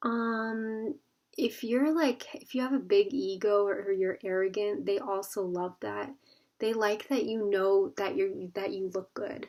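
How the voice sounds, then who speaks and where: A woman's unremarkable speaking voice, fairly high in pitch with ordinary pitch variation, at a fairly slow pace. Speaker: tarot card reader. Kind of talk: pick-a-card tarot reading. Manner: casual, filler-heavy.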